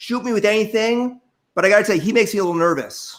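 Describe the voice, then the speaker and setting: On a very clean recording with a silent background, a man talks with ordinary pitch variation. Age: 60s. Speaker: plastic surgeon. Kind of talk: casual interview chat.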